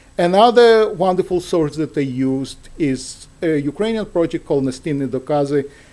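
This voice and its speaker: This man has a dark, mellow tone and a Russian accent. He speaks with hardly any pauses. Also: fairly high pitch for a man, lively intonation, moderate pace. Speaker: professor. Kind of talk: Q&A after a lecture. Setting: university talk with audience.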